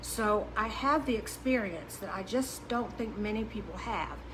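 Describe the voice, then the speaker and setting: Words come from a woman at a fairly slow rate. The room adds audible echo. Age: 60s. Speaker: diet coach. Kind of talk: podcast monologue. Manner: halting.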